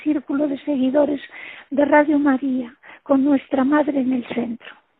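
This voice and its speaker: This woman's high voice moves fairly slowly in a monotone, flat intonation. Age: 70s. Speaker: radio contributor. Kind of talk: prepared farewell reflection.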